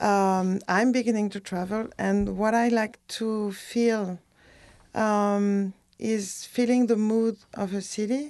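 Speaking very slowly with a French accent, a woman keeps a fairly high pitch in a flat, monotone delivery. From France, near Bordeaux. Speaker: artist and costumer. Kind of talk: casual interview. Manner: halting, many fillers.

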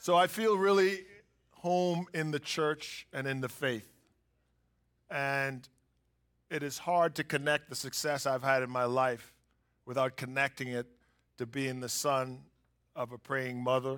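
Speaking with an American accent, a man uses a fairly high pitch and ordinary pitch variation. He talks at a fairly slow pace with long, frequent pauses. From US, inner city. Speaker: business executive. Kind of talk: testimony. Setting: church stage with audience.

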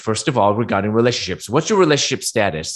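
This man has an unremarkable speaking voice at a medium pitch, with lively intonation. The background is quiet. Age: 50s. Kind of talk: talk with slides. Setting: live stream.

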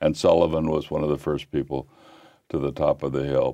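With an American accent, a man speaks at a moderate pace in a very deep, low pitch. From US Midwest, Illinois. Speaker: historian and former college president. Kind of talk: interview. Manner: halting, many repeated words.

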